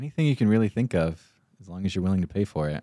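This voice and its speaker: A man with an American accent, very deep, low pitch and dark, mellow tone, in a dry, close sound with no echo, with a very clean recording and silent background. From Arizona, small town (Payson). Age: 20s. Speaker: financial advisor. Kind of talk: casual chat.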